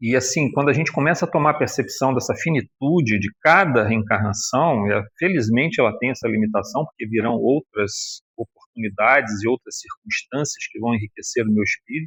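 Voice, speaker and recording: Using a plain, everyday voice, a man talks at a moderate pace and medium pitch with lively intonation, hardly any pauses, and a dry, close sound with no echo. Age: 60s. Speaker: spiritist lecturer. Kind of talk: religious lecture. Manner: conversational, colloquial.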